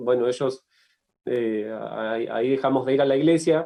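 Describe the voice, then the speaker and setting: A man's medium-pitched voice keeps a fairly even intonation. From Argentina, Tierra del Fuego and La Plata. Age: 30s. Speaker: writer and sports journalist. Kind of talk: interview testimony. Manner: halting, many fillers and repetitions.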